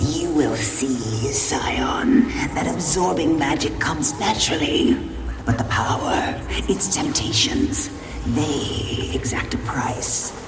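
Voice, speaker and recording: A cartoonish character voice whispers at a fairly slow pace. Loud background noise runs underneath. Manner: solemn, measured, stuttering repeats.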